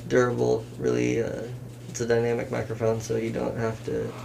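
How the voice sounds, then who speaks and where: A man talks at a moderate speed in an American accent, with noticeable noise in the background. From Washington state, US (Kitsap area); Washington. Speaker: rapper. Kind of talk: casual chat. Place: home room.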